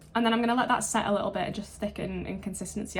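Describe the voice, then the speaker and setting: A woman at a medium pitch, fairly even in intonation, over noticeable background noise. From England. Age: 20s. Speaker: beauty and ASMR YouTuber. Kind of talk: get ready with me makeup tutorial; casual talk to camera.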